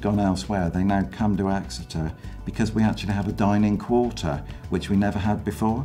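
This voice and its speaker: With faint music in the background, a man speaks at a moderate pace in a fairly low pitch with ordinary pitch variation. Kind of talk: interview answer.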